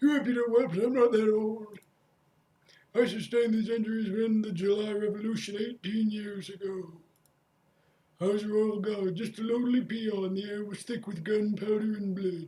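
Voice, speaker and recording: A man uses a put-on character voice with a high pitch. He talks at a moderate pace. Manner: indignant, crotchety.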